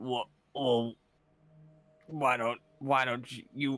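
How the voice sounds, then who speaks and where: In a put-on character voice, a man speaks at a medium pitch in a flat monotone. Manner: hesitant, stumbling.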